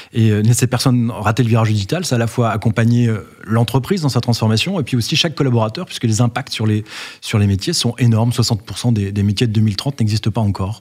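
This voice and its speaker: The somewhat breathy voice moves at a very fast pace, with very even loudness and ordinary pitch variation. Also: man, medium pitch for a man. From Brittany, France. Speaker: company founder and CEO. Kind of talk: interview. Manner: hesitant, frequent fillers and repetitions.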